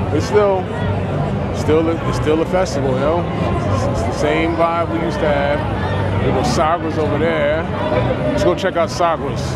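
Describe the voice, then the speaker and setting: Man at a moderate pace with long, frequent pauses, crowd noise in the background, and a dry sound with no echo. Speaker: vlogger. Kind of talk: casual vlog chat. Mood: nostalgic, pleased. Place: street. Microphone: phone near.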